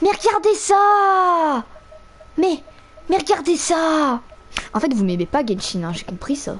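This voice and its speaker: A woman's extremely high voice, very slow with long, frequent pauses and very wide pitch swings, over noticeable background noise. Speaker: gaming streamer. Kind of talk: angry rant while gaming, swearing and yelling at the game. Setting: live stream, playing a video game with headset. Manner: loud, exasperated, explosive, with sarcastic outbursts and laughter.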